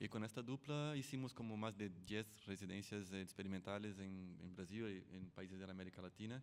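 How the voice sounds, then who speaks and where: This man has a Brazilian accent and a fairly low pitch with ordinary pitch variation. He speaks at a fairly quick pace with hardly any pauses. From Brazil, São Paulo. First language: Portuguese (speaking Spanish). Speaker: sound artist. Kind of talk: artist presentation at forum. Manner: halting, many fillers.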